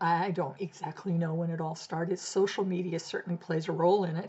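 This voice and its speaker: A woman's fairly low voice with an American accent and ordinary pitch variation, over noticeable background noise. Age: 70s. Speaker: blogger. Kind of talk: casual talk to camera.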